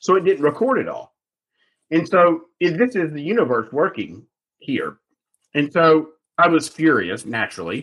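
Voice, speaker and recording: Vocal fry and lively intonation at a moderate pace, broken by long, frequent pauses. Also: man, fairly high pitch for a man. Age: 40s. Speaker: sales consultant. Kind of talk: interview.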